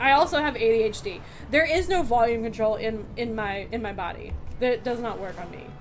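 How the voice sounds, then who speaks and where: A woman with a fairly high pitch talks at a fairly quick pace in an animated tone with lively intonation and big swings in loudness, over noticeable background noise and audible room echo. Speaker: gaming streamer. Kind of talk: casual gameplay commentary.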